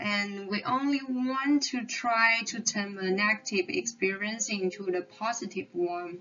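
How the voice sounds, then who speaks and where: Over noticeable background noise, a woman with a non-native accent speaks with hardly any pauses and ordinary pitch variation. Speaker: psychology consultant lecturing medical students. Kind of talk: lecture. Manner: halting.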